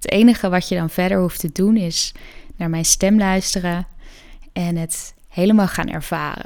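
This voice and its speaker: A woman talks in a normal speaking voice with fairly even intonation. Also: medium pitch for a woman. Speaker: yoga nidra guide and podcast host. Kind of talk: guided meditation. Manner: slow, soft, soothing; calm, gentle, with long pauses.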